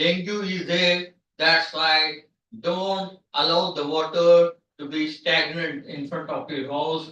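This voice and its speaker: A loud man with a high voice, a very slow pace and fairly even intonation. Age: 50s. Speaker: professor. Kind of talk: lecture. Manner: halting.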